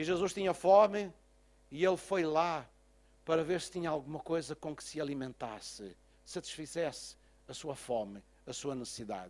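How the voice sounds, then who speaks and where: With lively intonation and a pitch that sits fairly high, the man talks at a moderate pace. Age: 60s. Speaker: pastor. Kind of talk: sermon. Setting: church.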